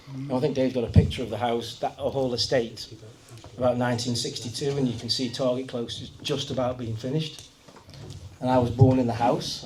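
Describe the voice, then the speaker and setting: A man in a North Staffordshire accent, very fast, monotone and flat, at a medium pitch, with audible room echo and noticeable background noise. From Kidsgrove area, Staffordshire, England. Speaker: local resident sharing memories. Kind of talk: casual talk to audience.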